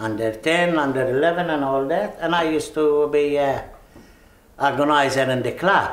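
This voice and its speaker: A man with a Maltese accent talks at a fairly slow pace with ordinary pitch variation, and audible room echo can be heard. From Malta. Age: 70s. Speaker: migrant interviewee. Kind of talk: interview.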